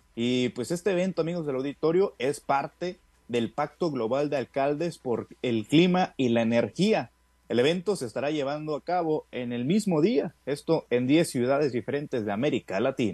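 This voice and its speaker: Upbeat and at a moderate pace, a man speaks with lively intonation in a dry, close recording with no echo. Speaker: sports news reporter. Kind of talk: sports news reading. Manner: brisk, upbeat, formal broadcaster cadence.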